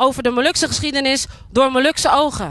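A woman with a high pitch and a bright, sharp tone projects her raised voice at a moderate pace, recorded dry with no echo over a quiet background. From Netherlands, Moluccan community. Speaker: spoken word artist. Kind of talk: public speech. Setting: outdoors at monument with audience. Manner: declamatory. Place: open country. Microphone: handheld.

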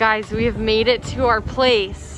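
Clear music plays in the background of a dry recording with no echo as a woman speaks with fairly even intonation. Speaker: travel vlogger. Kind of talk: casual vlog chat. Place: waterside. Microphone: phone near.

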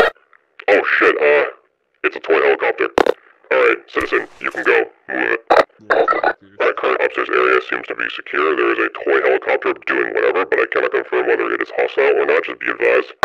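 A man puts on a character voice at an extremely high pitch, talking at a fairly quick pace with clear background noise. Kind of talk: military radio chatter roleplay. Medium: game stream. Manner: commanding, curt, exasperated.

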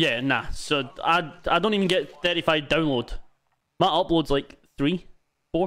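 Pausing long and often, a man with a Scottish accent speaks at a fairly slow pace in a high pitch, his bright, sharp tone holding very even loudness with ordinary pitch variation. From Scotland. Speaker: gaming livestreamer. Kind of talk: casual chat while gaming. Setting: online voice chat on a livestream.

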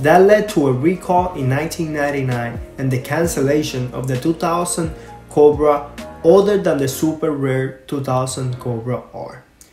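With music in the background, a man speaks at a fairly high pitch and a moderate pace, using ordinary pitch variation. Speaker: car enthusiast video host. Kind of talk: casual talk to camera.

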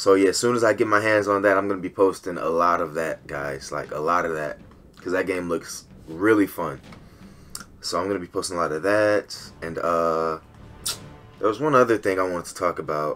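At a fairly quick pace, a man speaks in a very deep, low pitch with ordinary pitch variation. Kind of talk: gaming commentary, angry rant. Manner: loud, profane, furious.

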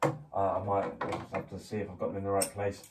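A man speaks over noticeable background noise. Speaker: climbing instructor. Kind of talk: tutorial. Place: home room. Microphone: camera far.

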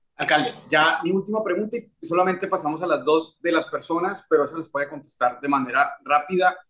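With hardly any pauses, a man talks at a fairly quick pace in a high pitch, using a bright, sharp tone and ordinary pitch variation. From Colombia, Medellín. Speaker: YouTube interviewer. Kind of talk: interview. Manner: halting, many fillers. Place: home room. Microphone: webcam.

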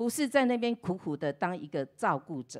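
This woman speaks fairly slowly in a fairly high pitch, her voice swinging very widely in pitch against a quiet background. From Taiwan. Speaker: pastor's wife. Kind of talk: testimony. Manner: animated. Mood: warm, cheerful, grateful. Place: church. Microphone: handheld.

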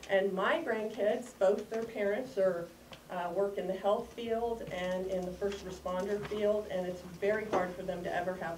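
A woman speaks with fairly even intonation. Background noise is noticeable. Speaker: grandparent giving public comment. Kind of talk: public comment. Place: hall. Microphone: camera far.

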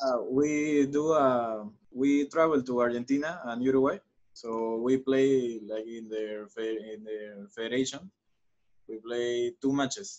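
With big swings in loudness and ordinary pitch variation, a man talks at a fairly slow pace over a quiet background. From Peru, Lima; Peru. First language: Spanish. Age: 20s. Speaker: professional footballer; guest. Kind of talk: interview. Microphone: video call.

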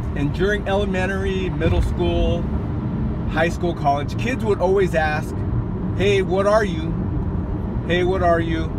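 Loud background noise surrounds a man who speaks with long, frequent pauses. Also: dry sound with no echo. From US West Coast. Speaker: vlogger. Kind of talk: casual storytelling monologue. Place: car. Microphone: phone near.

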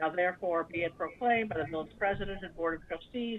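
An ordinary speaking voice with ordinary pitch variation sounds dry with no echo, over light background noise. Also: woman. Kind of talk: formal proclamation reading. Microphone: video call.

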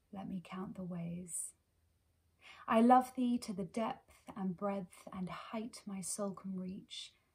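In a quiet background, a somewhat breathy woman speaks at a very slow pace with fairly even intonation. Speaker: poetry reader. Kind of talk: poetry reading. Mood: tender, earnest. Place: home room.

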